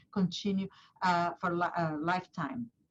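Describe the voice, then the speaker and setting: This woman's voice is somewhat breathy. She speaks with a Portuguese accent. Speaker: neurologist, clinic director. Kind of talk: medical webinar lecture. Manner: halting, many fillers.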